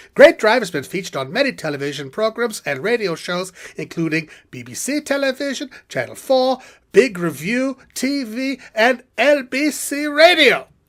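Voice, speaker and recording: A put-on character voice at a fairly high pitch, on a very clean recording with a silent background. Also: moderate pace. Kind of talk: TV commercial read.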